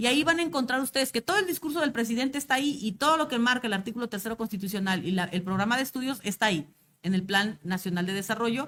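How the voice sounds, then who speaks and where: A woman with a fairly high pitch speaks very fast, her intonation lively. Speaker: teacher trainer. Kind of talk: lecture.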